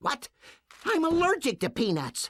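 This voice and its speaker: The voice is a put-on character voice pitched high. It moves along at a moderate pace. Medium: video game.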